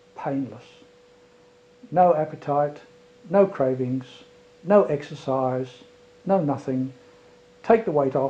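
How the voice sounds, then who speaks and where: Speaking at a very slow pace with long, frequent pauses, a man uses a fairly high pitch with ordinary variation. Noticeable background noise is present. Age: 60s. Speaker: retired airline pilot giving a testimonial. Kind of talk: testimony.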